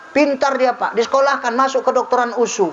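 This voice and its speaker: A man speaks at a moderate pace with an extremely high pitch. Noticeable background noise sits behind him. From North Sumatra, Indonesia (Mandailing Batak). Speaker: Islamic preacher. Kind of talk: religious sermon to a mosque audience. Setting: mosque gathering. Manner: lively, humorous.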